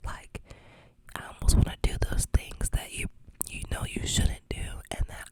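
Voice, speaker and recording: A woman whispering at a moderate pace with long, frequent pauses and big swings in loudness, over noticeable background noise. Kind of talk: ASMR storytime ramble.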